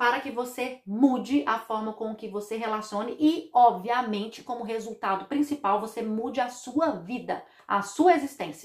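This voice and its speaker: A woman with a fairly high pitch talks in an animated tone at a moderate pace, with hardly any pauses, big swings in loudness and ordinary pitch variation. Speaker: podcast host on family constellation therapy. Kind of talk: casual monologue about songs.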